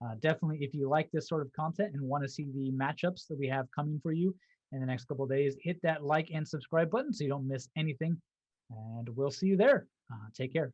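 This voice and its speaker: Speaking at a very fast pace, a man with a fairly high pitch sounds somewhat breathy, with ordinary pitch variation. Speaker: esports show host. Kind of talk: casual chat. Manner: halting.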